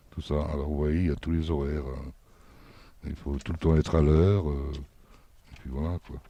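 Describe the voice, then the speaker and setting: A man with a very deep, low pitch and a dark, mellow, somewhat breathy tone speaks fairly slowly in a monotone, flat intonation with hardly any pauses. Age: 60s. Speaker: minibus driver. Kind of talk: interview. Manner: hesitant.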